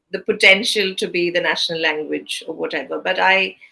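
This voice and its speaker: Bright and sharp in tone, a woman speaks at a medium pitch with a Keralan accent. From southern India, Kerala. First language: Malayalam. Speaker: interviewer, theatre director. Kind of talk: interview. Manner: halting.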